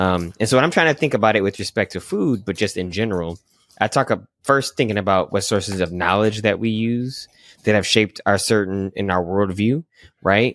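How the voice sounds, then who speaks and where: In a very clean recording with a silent background and a dry, close sound with no echo, a man with an American accent speaks fairly quickly in an ordinary speaking voice, fairly low in pitch with ordinary pitch variation. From Michigan, US. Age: 40s. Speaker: pastor and professor. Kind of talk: casual chat.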